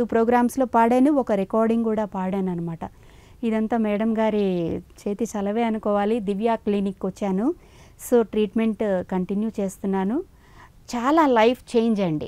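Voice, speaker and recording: A woman's fairly high voice with a dark, mellow tone on a very clean recording against a silent background. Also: ordinary pitch variation. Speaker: playback singer. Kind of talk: testimonial to camera.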